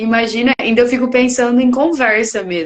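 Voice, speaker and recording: A woman's high-pitched voice comes through. Her tone is animated. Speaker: podcast host. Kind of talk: podcast interview.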